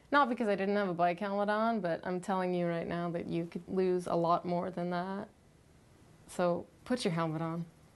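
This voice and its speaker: A moderate pace and fairly even intonation. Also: woman. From Canada. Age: 20s. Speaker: wheelchair athlete; interviewee. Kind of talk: interview testimony. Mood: earnest, determined.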